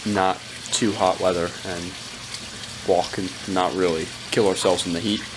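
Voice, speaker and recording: A man's very deep, low voice in monotone, flat intonation at a moderate pace, with noticeable background noise. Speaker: vlogger. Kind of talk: casual vlog chat. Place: home room. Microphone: phone near.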